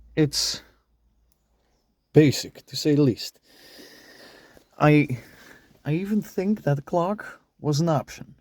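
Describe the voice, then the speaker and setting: A man's fairly high voice with a non-native accent and ordinary pitch variation, at a very slow pace full of long, frequent pauses. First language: not English. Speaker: car enthusiast vlogger. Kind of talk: car walkaround review. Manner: halting.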